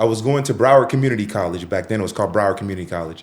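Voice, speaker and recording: A man with a Miami accent speaks in an animated tone with very wide pitch swings. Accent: Miami American English. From Miami, Florida (Haitian parents). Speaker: TV personality and Air Force veteran. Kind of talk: casual interview chat.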